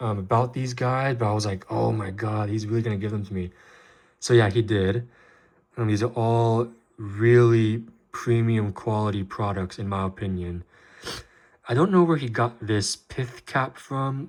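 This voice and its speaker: A man at a medium pitch and moderate pace, in a very clean recording with a silent background. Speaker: Lego collector YouTuber. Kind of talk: casual show-and-tell video. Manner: monotone; hesitant, many filler ums.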